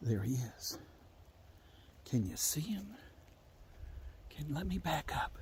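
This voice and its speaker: In an Appalachian accent, the speaker moves at a fairly slow pace with long, frequent pauses, and the room echo is audible. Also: man. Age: 60s. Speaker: storyteller. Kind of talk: storytelling. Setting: outdoors.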